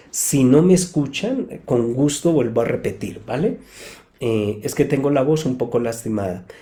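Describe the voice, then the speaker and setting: Speaking at a fairly slow pace, a man uses a medium-pitched, somewhat breathy voice with a dark, mellow tone and lively intonation. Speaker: psychotherapist. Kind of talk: live talk answering audience questions. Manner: calm, explanatory.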